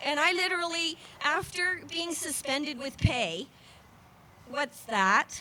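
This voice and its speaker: Her voice raised and projected, a woman talks at a fairly slow pace with a high pitch and lively intonation. Noticeable background noise sits behind her. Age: 60s. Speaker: rally speaker, former family counselor. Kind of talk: rally speech. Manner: halting.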